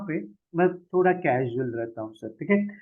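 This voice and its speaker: This is a man speaking. His pitch is high. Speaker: forex trading trainer. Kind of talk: sales presentation of a training course. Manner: slow, relaxed and casual; quieter than usual.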